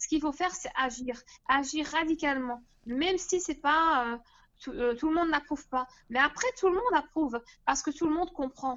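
At a moderate pace, a woman talks with a high pitch and lively intonation. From Belgium. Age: 20s. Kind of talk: interview testimony.

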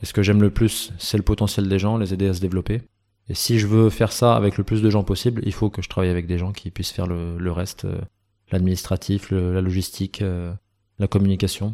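A man's fairly low pitch and dark, mellow tone, flat and monotone in intonation, at a fairly quick pace. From France, Grenoble. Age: 30s. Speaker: talent and sports agent, former bar owner. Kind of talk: interview. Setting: his new office.

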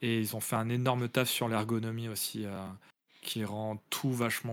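A man at a medium pitch, fairly slow in pace, with monotone, flat intonation. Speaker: video game podcast co-host. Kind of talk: casual chat.

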